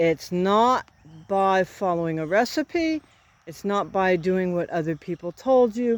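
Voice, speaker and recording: On a very clean, dry and close recording with no echo and a silent background, a woman at medium pitch speaks at a fairly slow pace with lively intonation. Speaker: farmer. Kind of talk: opinionated advice monologue. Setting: outdoors. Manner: slow, halting.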